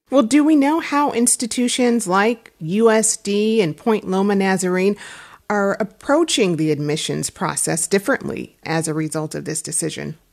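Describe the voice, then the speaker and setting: The woman's pitch swings very widely around a medium level. She speaks at a moderate pace. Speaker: radio host. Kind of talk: radio news host, broadcast intro. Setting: studio. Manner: polished, clear, formal announcer delivery.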